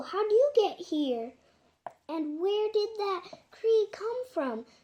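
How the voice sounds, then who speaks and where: A woman puts on a squeaky character voice at an extremely high pitch, speaking at a very slow pace. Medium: read story.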